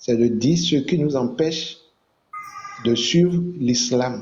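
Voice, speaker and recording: Spoken at a very slow pace, the voice has ordinary pitch variation. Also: man. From Benin. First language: Fon (speaking French). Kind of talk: online religious debate.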